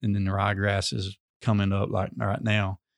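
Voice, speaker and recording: A man with a Mississippi accent speaks at a moderate pace in a fairly low pitch, on a very clean recording with a silent background and a dry, close sound with no echo. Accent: Southern US (Mississippi). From US South, northeast Mississippi. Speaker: high school sports coach. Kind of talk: casual interview.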